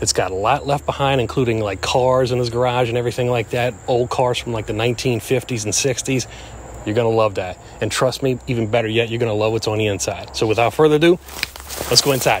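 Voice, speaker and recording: Over light background noise, a man talks very fast with ordinary pitch variation, the sound dry with no echo. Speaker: explorer vlogger. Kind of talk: casual vlog intro. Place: forest.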